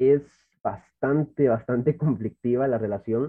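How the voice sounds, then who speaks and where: This man talks with fairly even intonation. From El Salvador, Santa Ana. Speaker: church youth worker. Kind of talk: casual chat.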